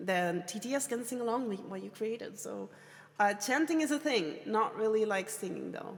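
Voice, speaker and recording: A woman speaks at a moderate pace with a fairly high pitch and lively intonation. Noticeable background noise is present. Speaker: streamer teaching songwriting. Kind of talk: live stream tutorial. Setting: live stream with chat. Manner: hesitant, many fillers.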